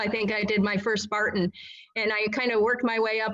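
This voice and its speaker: A woman speaks at a fairly quick pace and a fairly high pitch over noticeable background noise. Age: 60s. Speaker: obstacle course racer. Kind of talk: interview.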